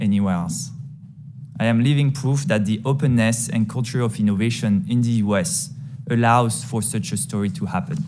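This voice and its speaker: With music in the background and audible room echo, a man with a French accent speaks at a moderate pace in a medium pitch with ordinary pitch variation. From France. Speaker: tech company CEO. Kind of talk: congressional testimony. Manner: formal.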